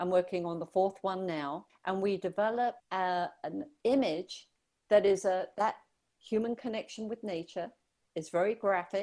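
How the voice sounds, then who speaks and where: A woman with an English accent, medium pitch and a dark, mellow tone, fairly slow pace, ordinary pitch variation, very clean recording with a silent background. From southern England. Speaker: brand strategist. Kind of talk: radio interview.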